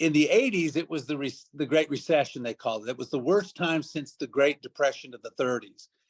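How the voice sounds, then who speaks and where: A man with a fairly high pitch talks at a fairly quick pace with hardly any pauses, big swings in loudness and ordinary pitch variation, in a dry, close sound with no echo. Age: 60s. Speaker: network marketing leader. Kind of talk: motivational talk. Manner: fast.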